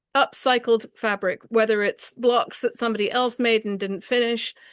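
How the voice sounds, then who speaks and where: A woman with an English accent at a moderate pace, dry and close with no echo, over a quiet background. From England. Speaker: quilting teacher. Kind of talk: presentation with slideshow.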